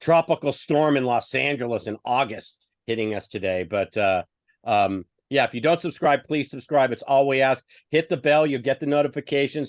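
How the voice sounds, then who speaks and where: A man talks in an ordinary speaking voice with ordinary pitch variation. The sound is dry and close with no echo, and the background is quiet. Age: 50s. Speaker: sports podcast host. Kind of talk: casual chat.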